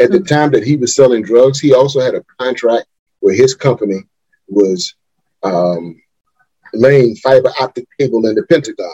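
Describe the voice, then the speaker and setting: Speaking in an American accent, a man with a medium pitch and a dark, mellow, somewhat breathy tone uses lively intonation at a moderate pace with long, frequent pauses, in a dry, close sound with no echo. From Wilmington, North Carolina. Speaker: organizational consultant and executive coach. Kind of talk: interview.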